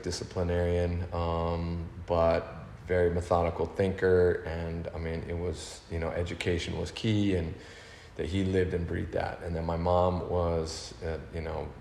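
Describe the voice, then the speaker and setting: Through audible room echo, a man with an American accent and a very deep, low pitch speaks at a moderate pace. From Northern California (Berkeley), early childhood in Austria. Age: 50s. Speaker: big wave water skier, action sports athlete. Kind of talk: podcast interview.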